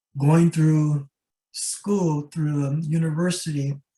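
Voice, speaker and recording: A man's voice sits fairly high with a dark, mellow tone. It is somewhat breathy, with monotone, flat intonation. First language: Rarámuri and Mayo. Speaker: ethnobotanist and scholar. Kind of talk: lecture.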